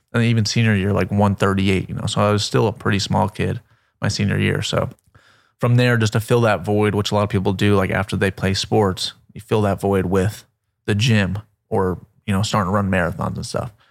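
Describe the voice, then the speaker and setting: A man's plain, everyday voice, fairly low in pitch with fairly even intonation and an American accent, in a very clean recording with a silent background. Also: fairly quick pace. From Florida, Melbourne Beach. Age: 20s. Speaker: pilot and wellness creator. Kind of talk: casual chat.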